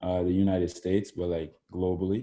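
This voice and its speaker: Speaking at a fairly quick pace, a man has a very deep, low pitch and a dark, mellow tone. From Ontario, Canada (Oakville). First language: French. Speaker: podcast guest, activist. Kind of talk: casual chat. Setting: podcast recording. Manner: hesitant, many fillers.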